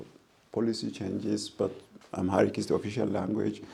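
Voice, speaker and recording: In an Ethiopian accent, a man speaks at a moderate pace. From Ethiopia, Kambata region. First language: Kambata. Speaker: professor of international relations. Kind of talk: interview. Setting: in person over coffee. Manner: halting.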